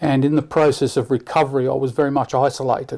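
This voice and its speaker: The voice moves at a fairly quick pace with a dark, mellow tone. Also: man. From Leicester, English Midlands, moved to Australia at 10. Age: 60s. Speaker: church member interviewee. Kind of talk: interview about life and faith. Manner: halting, many repetitions.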